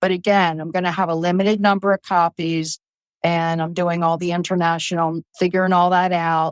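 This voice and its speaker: In a Baltimore accent, a woman speaks in a monotone, flat intonation at a fairly low pitch and a moderate pace. The recording is very clean with a silent background and a dry, close sound with no echo. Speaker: author. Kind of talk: casual chat.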